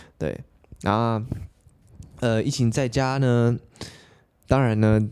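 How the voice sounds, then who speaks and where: This man's voice sits fairly low, with a dark, mellow tone. He keeps a moderate pace. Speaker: podcast host. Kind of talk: casual solo podcast monologue.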